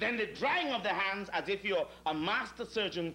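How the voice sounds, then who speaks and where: A man's raised, projected voice at a moderate pace, with ordinary pitch variation and light background noise. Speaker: stage actor. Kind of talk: theatrical comic monologue. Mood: sardonic, humorous. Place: stage. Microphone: old recording.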